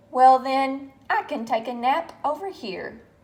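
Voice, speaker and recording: Putting on a character voice, the woman talks fairly slowly at a high pitch. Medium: read story.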